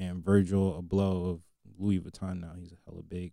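Very deep and low, a man's voice carries a dark, mellow tone. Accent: American. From New Jersey. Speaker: podcast co-host. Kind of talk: casual chat. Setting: studio.

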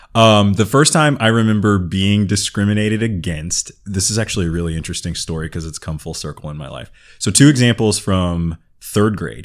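Big swings in loudness mark a man's fairly low voice, which moves at a fairly quick pace with ordinary pitch variation. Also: very clean recording, silent background. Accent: American. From Southern California. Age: 30s. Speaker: podcast guest sharing experiences of racism. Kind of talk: casual interview conversation.

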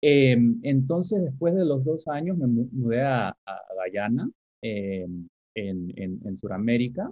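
Very wide pitch swings mark a man's medium-pitched voice, delivered at a very slow pace. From Caribbean and Panama, raised partly abroad. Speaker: professor of education policy. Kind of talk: interview. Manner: halting, many repeated words.

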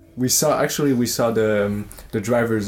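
A man with a Quebec accent talks at a moderate pace in a fairly low pitch. His intonation stays fairly even. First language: French. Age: 20s. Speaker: traveler. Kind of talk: interview.

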